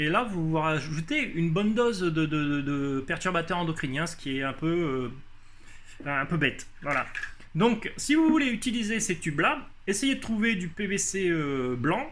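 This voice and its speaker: In a room with audible echo, a man with a high pitch and lively intonation speaks at a fairly slow pace. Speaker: hydroponics hobbyist youtuber. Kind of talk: casual tutorial. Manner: halting, many hesitations.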